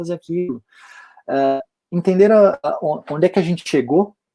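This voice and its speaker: A man speaks at a moderate pace with a high pitch and a dark, mellow tone. His pitch varies in an ordinary way, and the sound is dry and close with no echo. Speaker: AI company professional, speaker. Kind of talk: online lecture. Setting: online livestream event.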